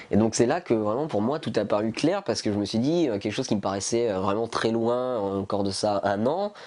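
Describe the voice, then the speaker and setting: A man speaks with ordinary pitch variation. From eastern France, near Besançon. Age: 20s. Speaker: lung transplant patient. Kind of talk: testimony. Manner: halting, many hesitations.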